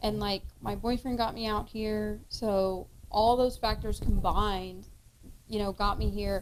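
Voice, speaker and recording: A woman speaks in a Kentucky accent. Her pace is fairly slow. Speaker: podcast cohost and actress. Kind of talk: casual chat.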